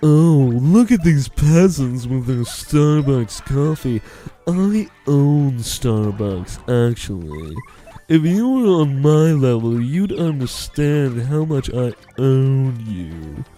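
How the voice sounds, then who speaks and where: A man in a put-on character voice talks very slowly at a medium pitch. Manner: snobby, condescending.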